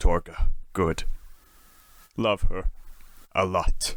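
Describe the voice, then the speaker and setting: A man does a put-on character voice with a fairly low pitch. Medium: audio drama. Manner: terse, broken caveman speech.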